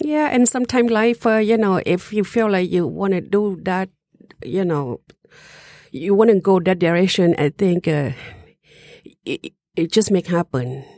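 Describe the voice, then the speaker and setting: A woman with a Southeast Asian accent and a dark, mellow tone, at a fairly slow pace with long, frequent pauses, in a dry, close sound with no echo. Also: medium pitch for a woman, lively intonation. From Laos, Hmong. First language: Hmong. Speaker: restaurant owner. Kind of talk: interview.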